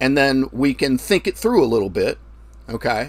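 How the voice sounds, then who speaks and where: This is a loud voice with vocal fry running through it. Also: man. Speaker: forex trading livestream host. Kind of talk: live stream chat with viewers. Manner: trails off at ends of sentences; deliberately loud. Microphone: new microphone setup.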